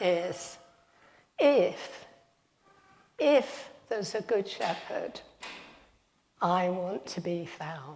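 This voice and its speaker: A woman at a medium pitch with very wide pitch swings, big swings in loudness, a very slow pace and long, frequent pauses, plus audible room echo. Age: 70s. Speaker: retired teacher giving a talk in church. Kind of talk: sermon.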